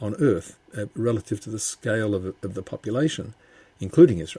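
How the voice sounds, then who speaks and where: Somewhat breathy and dark, mellow in tone, a man speaks at a fairly quick pace with lively intonation in a dry, close sound with no echo. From Australia, Melbourne. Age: 70s. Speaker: bereaved father and justice campaigner. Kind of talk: podcast interview. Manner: halting, repeats words.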